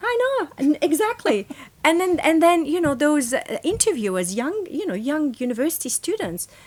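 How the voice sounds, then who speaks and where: A woman speaks with an Arabic accent at a high pitch, her voice making very wide pitch swings. Her pace is moderate, and there is noticeable background noise. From Lebanon. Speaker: professor. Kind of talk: interview.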